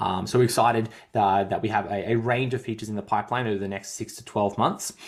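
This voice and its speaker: Very fast, monotone speech in an Australian accent, with flat intonation and big swings in loudness. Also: man, fairly low pitch for a man. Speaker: fitness coach and podcast host. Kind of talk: casual podcast chat.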